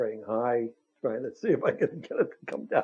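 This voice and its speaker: A man of medium pitch with a New York accent. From Brooklyn, New York. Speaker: war veteran. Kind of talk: testimony.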